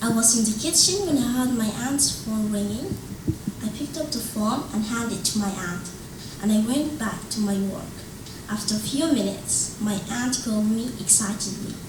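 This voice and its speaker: A woman's fairly high voice at a moderate pace, with ordinary pitch variation, audible room echo and noticeable background noise. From Sudan. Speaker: English-language student and author. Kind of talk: reading aloud.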